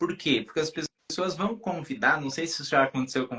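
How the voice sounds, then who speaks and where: Using an unremarkable speaking voice, a man speaks at a moderate pace with a fairly high pitch and lively intonation. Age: adult. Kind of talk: casual chat.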